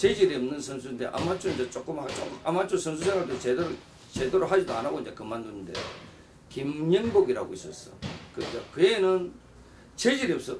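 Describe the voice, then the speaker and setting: A man's high voice with very wide pitch swings, big jumps in loudness and a fairly quick pace over noticeable background noise. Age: 60s. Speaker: retired pro boxer and boxing gym owner. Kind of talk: interview. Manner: halting. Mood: nostalgic, animated storytelling. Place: office.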